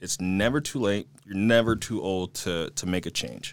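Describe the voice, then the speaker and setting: A man with an ordinary speaking voice talks at a fairly slow pace and a fairly low pitch, with ordinary pitch variation, on a very clean recording with a silent background. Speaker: real estate agent. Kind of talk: casual chat. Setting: studio.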